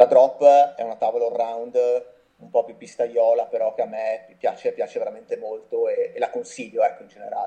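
A man speaks at a very fast pace. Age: 40s. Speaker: snowboard brand representative. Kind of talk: casual interview. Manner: halting, repeats words.

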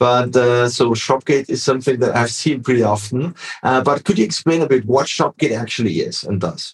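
In a German accent, a somewhat breathy man talks at a fairly quick pace, recorded dry and close with no echo. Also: medium pitch for a man, ordinary pitch variation, hardly any pauses. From Austria. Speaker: podcast host. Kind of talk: interview.

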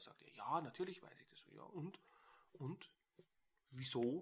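Animated in tone, a man speaks at a moderate pace and fairly high pitch, with lively intonation and vocal fry. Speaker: NLP trainer. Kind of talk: casual interview.

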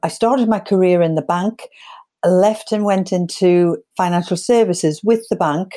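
The voice is dark and mellow, with fairly even intonation, very even loudness and a moderate pace, on a very clean recording with a silent background. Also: woman. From northeast England. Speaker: sales trainer. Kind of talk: interview.

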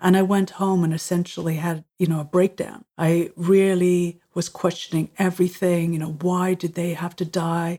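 With an Irish accent, a woman speaks in a dark, mellow tone and a monotone, flat intonation. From Ireland. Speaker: musician and creativity coach. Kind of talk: interview.

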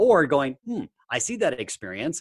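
A man speaks with vocal fry and very wide pitch swings, recorded dry and close with no echo against a quiet background. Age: 40s. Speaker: personal development coach and hypnotherapist. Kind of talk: interview. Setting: remote call. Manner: animated.

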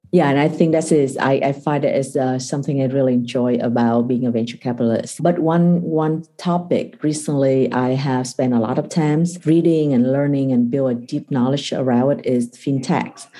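A woman with a Vietnamese accent speaks at a very deep, low pitch in a dark, mellow tone. Her pace is moderate, with hardly any pauses, very even loudness and fairly even intonation. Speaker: venture capital investor. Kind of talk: interview. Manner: halting.

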